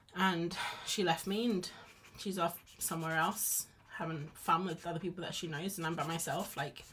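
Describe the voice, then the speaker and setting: A woman with a British accent speaks at a moderate pace, her pitch fairly low and her intonation fairly even. Noticeable background noise is present. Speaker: art streamer. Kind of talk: casual chat while drawing on a live stream. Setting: live stream. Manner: mumbly at times; chatty, rambling with false starts.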